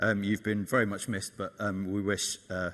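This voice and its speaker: With a Welsh accent, a man with a fairly low pitch and a bright, sharp tone talks at a fairly quick pace on a very clean recording with a silent background. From Wales. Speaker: conference director. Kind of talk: closing speech.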